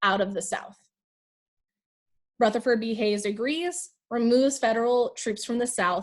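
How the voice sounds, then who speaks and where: A woman has a plain, everyday voice with a fairly high pitch. Her pitch varies in an ordinary way at a moderate pace. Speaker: high school history teacher. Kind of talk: lecture. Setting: video call.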